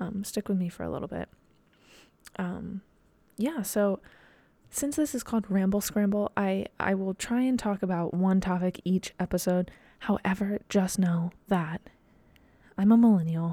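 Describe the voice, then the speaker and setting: A woman's medium-pitched, somewhat breathy voice, dark and mellow in tone, at a moderate pace with ordinary pitch variation and long, frequent pauses, on a very clean recording with a silent background. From US Midwest, Dayton, Ohio. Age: 20s. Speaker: podcast host and professional dancer. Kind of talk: solo casual monologue. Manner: rambling, many fillers and restarts.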